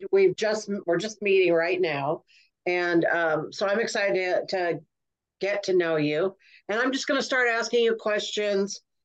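In a plain, everyday voice, a woman speaks at a medium pitch with ordinary pitch variation. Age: 60s. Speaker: podcast host and comedian. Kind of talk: casual interview chat.

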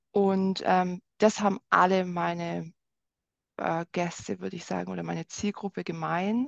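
A woman speaks at a fairly slow pace with big swings in loudness, in a dry, close sound with no echo against a quiet background. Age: 30s. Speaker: wine experience guide. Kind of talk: casual interview.

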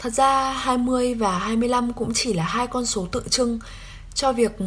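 Fairly high-pitched speech from a woman, with noticeable background noise behind it. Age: 20s. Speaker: podcast host. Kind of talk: solo reflective podcast monologue.

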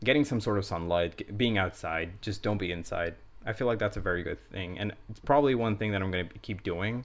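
An ordinary speaking voice from a man at a fairly quick pace, with ordinary pitch variation. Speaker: podcast co-host, medical student. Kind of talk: casual chat.

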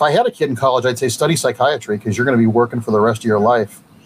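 An American-accented male voice, somewhat breathy. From Ohio, Cleveland area. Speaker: comic book writer and competitor. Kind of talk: casual interview.

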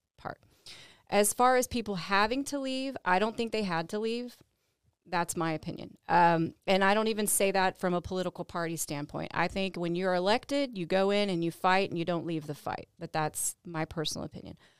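A plain, everyday voice speaks with an American accent at a fairly quick pace and ordinary pitch variation. The recording is very clean, with a silent background and a dry, close sound with no echo. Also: woman, medium pitch for a woman. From Texas, San Antonio. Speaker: district attorney candidate, former prosecutor. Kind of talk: podcast interview.

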